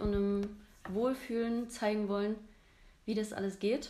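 A woman's medium-pitched voice, fairly slow, in a flat monotone. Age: 30s. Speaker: photographer, stylist and coach. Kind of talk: casual chat. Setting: recording together in Zwickau.

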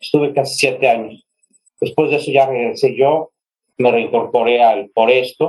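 A man with a plain, everyday voice speaks at a moderate pace with fairly even intonation. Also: medium pitch for a man. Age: 50s. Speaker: journalist. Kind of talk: interview.

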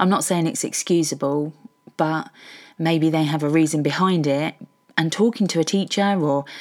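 This woman, with a southern English accent, talks at a moderate pace in a fairly low pitch. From Hertfordshire, England. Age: 50s. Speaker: podcaster. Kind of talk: personal monologue.

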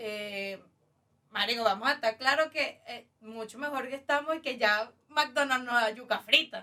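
Her bright, sharp voice sits high, and the woman talks fairly slowly with ordinary pitch variation. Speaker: podcast guest. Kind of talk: casual chat.

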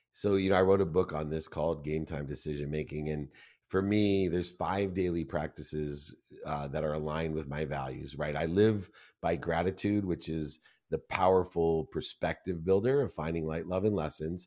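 A man's very deep, low voice at a moderate pace, with fairly even intonation and a quiet background. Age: 50s. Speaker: entrepreneur and sports marketing executive. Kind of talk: casual interview.

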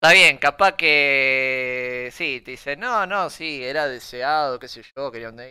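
A man speaks at a fairly slow pace. His pitch sits in the middle range, with ordinary variation. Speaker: podcast co-host. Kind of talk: casual chat. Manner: loud.

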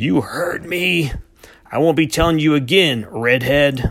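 A man uses a raspy, put-on character voice at a fairly high pitch, with ordinary pitch variation and a fairly slow pace. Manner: slow and threatening.

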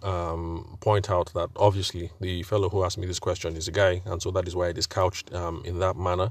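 Somewhat breathy and very deep, a man's voice holds a monotone, flat intonation at a moderate pace in a very clean recording with a silent background. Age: 40s. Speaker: podcast host and wedding photographer. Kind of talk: solo monologue podcast. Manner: halting, many fillers.

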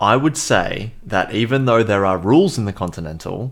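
This man has an Australian accent. The melody of his speech is lively. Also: very clean recording, silent background. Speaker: podcast co-host, film reviewer. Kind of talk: casual chat.

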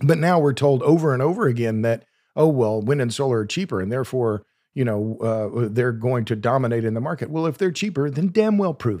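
A man with an American accent talks at a fairly quick pace in a medium-pitched, dark, mellow voice with lively intonation, on a very clean recording with a silent background. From Oklahoma. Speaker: energy author and podcast host. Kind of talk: podcast interview. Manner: halting, many repeated words.

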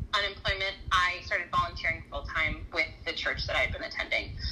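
With an American accent, a woman speaks at a moderate pace amid noticeable background noise. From Southern California. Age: 30s. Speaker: former ministry worker. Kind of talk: casual interview.

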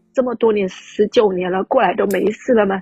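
With music in the background, a woman speaks at a moderate pace and a fairly high pitch, with ordinary pitch variation in a dry, close sound with no echo. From Fujian, China (Quanzhou). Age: 30s. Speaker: caller. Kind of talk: personal testimony.

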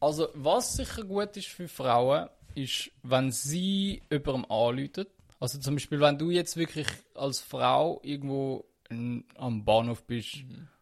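Speaking at a very slow pace, a man with a medium pitch keeps his intonation lively. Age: 20s. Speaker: podcast co-host. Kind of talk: casual chat.

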